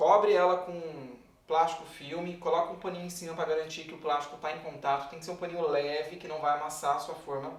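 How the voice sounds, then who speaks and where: Flat and monotone, a man with a fairly high pitch talks at a fairly quick pace with hardly any pauses, his loudness swinging widely over noticeable background noise. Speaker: baker. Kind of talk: tutorial. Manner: fast.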